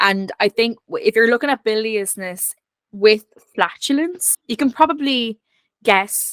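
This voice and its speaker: With an Irish accent, a woman speaks at a fairly slow pace in a dry, close sound with no echo. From Ireland. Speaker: historian guest. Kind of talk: casual chat.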